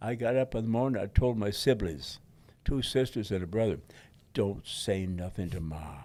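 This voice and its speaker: Over a silent background in a very clean recording, a man with an American accent, a medium pitch and a dark, mellow tone speaks with lively intonation. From Detroit. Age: 80s+. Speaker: war veteran; pastor. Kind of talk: interview answer.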